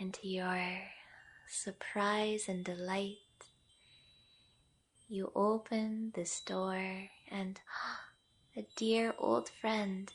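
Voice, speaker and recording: A woman speaks at a very slow pace with long, frequent pauses, her medium-pitched voice somewhat breathy. Her tone is gentle and calm, with fairly even intonation. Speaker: yoga nidra guide. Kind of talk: guided meditation, yoga nidra. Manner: slow, gentle, calm.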